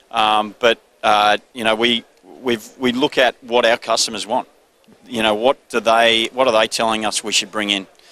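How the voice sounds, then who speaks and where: A man's medium-pitched voice in an Australian accent, bright and sharp, flat and monotone, at a moderate pace, with a dry, close sound and no echo. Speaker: business owner. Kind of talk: trade show interview. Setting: trade show floor. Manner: laid-back.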